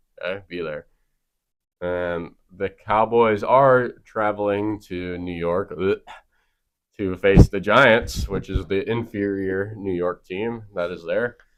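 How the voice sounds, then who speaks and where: A man with a Wisconsin accent speaks very slowly in a fairly low voice, his intonation fairly even against a quiet background. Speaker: sports podcast host. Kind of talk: casual sports chat.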